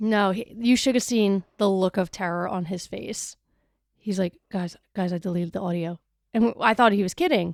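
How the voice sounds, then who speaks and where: With a Wisconsin accent, a woman talks in an animated tone at a moderate pace and medium pitch with ordinary pitch variation, on a very clean recording with a silent background and a dry, close sound with no echo. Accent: regional Wisconsin accent, 'wooder' for water. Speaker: podcast co-host. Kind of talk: casual chat.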